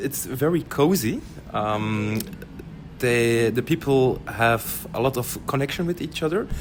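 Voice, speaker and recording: With a Dutch accent, a man speaks at a fairly slow pace. His intonation is lively. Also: medium pitch for a man. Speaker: community center worker. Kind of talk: interview. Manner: halting.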